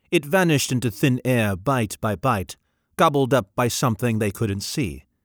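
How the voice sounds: Someone reads in a natural voice while the background stays quiet.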